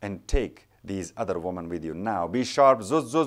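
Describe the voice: What you hear is plain reading aloud.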